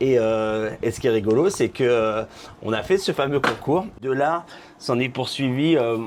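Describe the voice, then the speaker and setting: A man's unremarkable speaking voice at medium pitch, moderately paced with ordinary pitch variation. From Normandy, France. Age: 40s. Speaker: drag queen. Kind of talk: casual interview chat.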